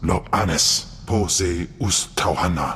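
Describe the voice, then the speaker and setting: A man uses a put-on character voice, very deep and low, with a menacing tone. Clear background noise can be heard. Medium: video game. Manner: guttural, menacing, alien language.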